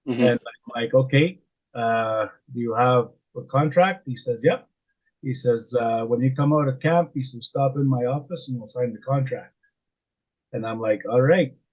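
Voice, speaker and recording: Somewhat breathy and medium in pitch, a man talks at a moderate pace with ordinary pitch variation and big swings in loudness. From Canada, Saskatchewan. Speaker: oil and gas wellsite supervisor. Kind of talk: podcast interview answer. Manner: casual, hesitant.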